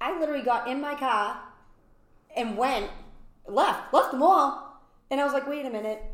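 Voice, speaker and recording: With a Boston accent, a woman speaks at a moderate pace in very wide pitch swings, and audible room echo surrounds her. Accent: Boston-area New England. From Massachusetts, Brockton. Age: 40s. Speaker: event space owner. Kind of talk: casual interview.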